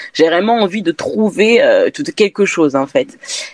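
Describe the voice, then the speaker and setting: A woman speaks over noticeable background noise. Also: dry, close sound with no echo. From France. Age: 20s. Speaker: candle brand founder. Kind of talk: interview. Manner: hesitant, many fillers.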